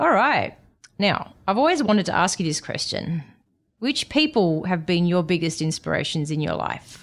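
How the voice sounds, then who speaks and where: On a very clean recording with a silent background, a woman talks at a moderate pace with a fairly low pitch and very wide pitch swings. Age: 40s. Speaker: doctor and podcast host. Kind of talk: interview; scripted narration. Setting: in-person studio.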